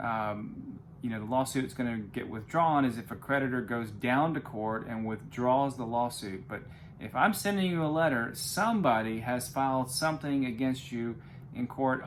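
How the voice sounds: The delivery keeps a moderate pace with ordinary pitch variation. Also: man.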